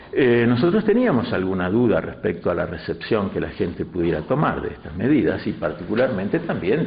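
Audible room echo surrounds speech delivered at a moderate pace. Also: man. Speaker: interviewee. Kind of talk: interview answer. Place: meeting room.

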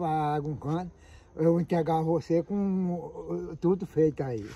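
A man's high-pitched, dark, mellow voice at a very slow pace, with ordinary pitch variation and a dry sound with no echo. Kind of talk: casual conversation. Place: open country. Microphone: phone near.

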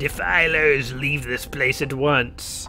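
A very slow, put-on character voice at a low-to-middle pitch over clear music in the background. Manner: commanding, enraged.

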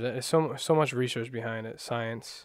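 The recording of a man has a quiet background and a dry sound with no echo. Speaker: meditation guide. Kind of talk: guided meditation. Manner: calm, unhurried, soft-spoken guiding; hesitant, self-correcting, casual. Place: home room.

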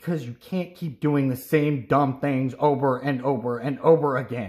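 At a moderate pace and medium pitch, a man delivers his lines in a put-on character voice. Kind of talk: read-aloud storytelling. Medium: read story. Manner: gruff, curt. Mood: annoyed lecturing.

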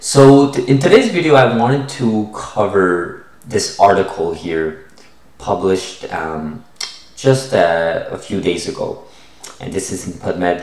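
A man speaks at a fairly slow pace, and room echo is audible. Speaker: science investing channel host. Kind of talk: casual vlog chat. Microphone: webcam.

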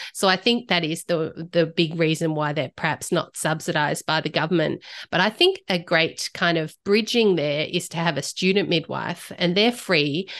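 A woman talks in a plain, everyday voice, fairly low in pitch with ordinary pitch variation, at a moderate pace with hardly any pauses over a quiet background. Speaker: guest. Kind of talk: interview answer. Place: home room. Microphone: studio mic.

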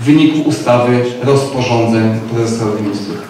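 In a room with strong echo and light background noise, a man talks at a moderate pace with fairly even intonation. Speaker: city official addressing council. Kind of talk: formal speech. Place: hall.

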